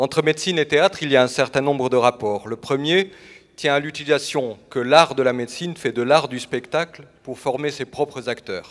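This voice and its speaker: At a moderate pace, a man talks in a normal speaking voice, fairly high-pitched with ordinary pitch variation. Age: 60s. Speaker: doctor. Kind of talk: personal statement on stage.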